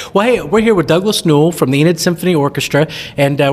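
Noticeable background noise runs under this recording. A man talks at a very fast pace with a fairly high pitch. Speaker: podcast host. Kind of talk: casual interview.

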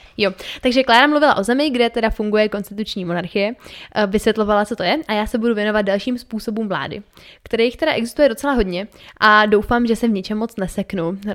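A woman with a fairly high voice talks at a very fast pace, her pitch varying in an ordinary way. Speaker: podcast co-host. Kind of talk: casual educational chat.

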